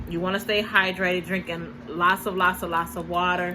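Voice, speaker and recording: A woman talks at a medium pitch, and room echo is audible around her. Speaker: vlogger, stay-at-home mom. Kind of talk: casual vlog talk. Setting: at home. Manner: halting, many fillers.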